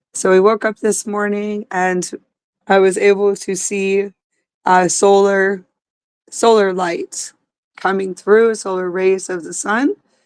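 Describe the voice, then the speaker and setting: A woman talks very slowly at medium pitch, with long, frequent pauses. Her intonation is monotone and flat, and the sound is dry and close with no echo. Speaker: spiritual channeler. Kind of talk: spiritual livestream talk. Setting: outdoors. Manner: halting, repetitive.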